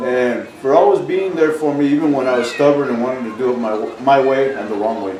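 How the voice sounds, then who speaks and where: Noticeable background noise and audible room echo surround the recording. A man with a medium pitch talks at a fairly quick pace with ordinary pitch variation. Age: 60s. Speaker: interviewee at family reunion. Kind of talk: casual interview. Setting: family reunion.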